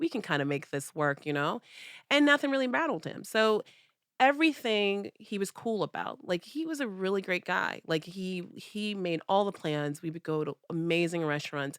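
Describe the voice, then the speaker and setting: A loud, medium-pitched woman's voice at a moderate pace, with very wide pitch swings and a very clean recording over a silent background. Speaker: podcast co-host. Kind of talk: casual chat.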